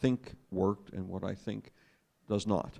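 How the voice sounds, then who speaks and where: The man has an American accent and an unremarkable speaking voice. His pitch is fairly low, with ordinary variation. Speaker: newspaper editor on panel. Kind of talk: panel debate statement.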